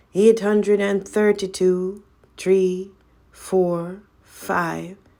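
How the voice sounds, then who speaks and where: A female-sounding, croaky put-on character voice speaks at a very slow pace and a medium pitch. The intonation is monotone and flat, in a very clean recording with a silent background. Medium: read story. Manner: monotonous.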